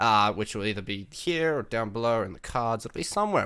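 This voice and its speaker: Speaking at a very fast pace with an Australian accent, a man with a fairly low pitch shows ordinary pitch variation on a very clean recording with a silent background. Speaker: Twitch streamer and podcast host. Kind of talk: casual chat.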